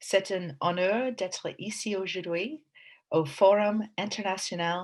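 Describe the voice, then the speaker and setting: Speaking in an English accent, a woman talks at a very slow pace and a medium pitch. The recording is very clean, with a silent background. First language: English (speaking French). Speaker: AI strategy executive. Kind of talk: prepared presentation. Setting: video recording.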